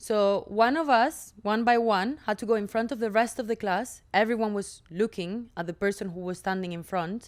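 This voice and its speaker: On a very clean recording with a silent background, a woman speaks at a moderate pace in a fairly high voice with ordinary pitch variation. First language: not English. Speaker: actress and podcast co-host. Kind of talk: casual chat.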